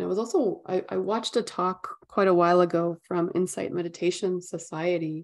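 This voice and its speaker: A woman with a normal speaking voice talks with hardly any pauses, in a fairly low pitch and a fairly even intonation. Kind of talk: guided meditation. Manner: calm, gentle, unhurried.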